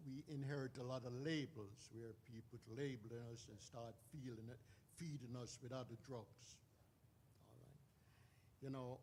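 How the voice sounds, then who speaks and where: A somewhat breathy man's voice of medium pitch with fairly even intonation. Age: 80s+. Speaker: audience member, addiction recovery counselor. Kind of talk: audience comment during Q&A.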